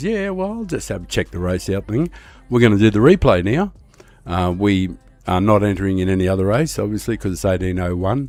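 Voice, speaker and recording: With an Australian accent, a man talks at a fairly quick pace with ordinary pitch variation. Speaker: streamer. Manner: casual, rambling.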